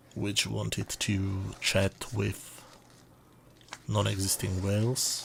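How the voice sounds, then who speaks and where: A man speaks at a very slow pace with long, frequent pauses. His voice is somewhat breathy and his intonation monotone and flat. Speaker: product reviewer. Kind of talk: product review narration.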